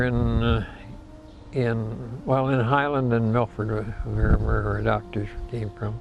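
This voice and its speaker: Someone with an American accent speaks fairly slowly, with audible room echo. Noticeable background noise runs underneath. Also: man. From Michigan, US Midwest. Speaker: elderly interviewee recounting local history. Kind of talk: oral history interview. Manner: halting, many false starts.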